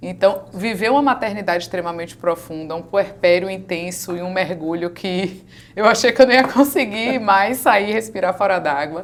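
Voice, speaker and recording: A woman with a Bahian accent, medium-pitched, at a moderate pace with ordinary pitch variation and hardly any pauses. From Bahia, Brazil. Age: 40s. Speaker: women's mentor. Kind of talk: interview.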